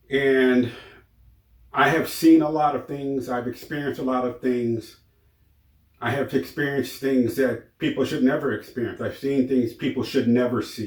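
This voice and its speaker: With a normal speaking voice and an American accent, a man talks at a moderate pace and medium pitch with fairly even intonation. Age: 60s. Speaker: YouTuber sharing personal stories. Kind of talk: personal testimony monologue.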